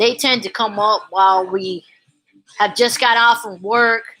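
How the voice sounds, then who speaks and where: A woman's animated tone with ordinary pitch variation. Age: 40s. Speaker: YouTuber vlogger. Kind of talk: casual monologue vlog.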